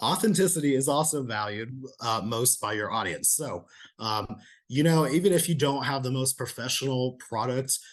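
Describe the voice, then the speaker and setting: A man's voice sounds shaky, with ordinary pitch variation. The background is quiet. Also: medium pitch for a man, moderate pace. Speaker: presenter on video marketing. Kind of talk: lecture. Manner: shaky voice.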